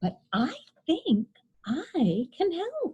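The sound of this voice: A woman puts on a character voice with a dark, mellow tone and a high pitch. Her pitch swings very widely at a very slow pace.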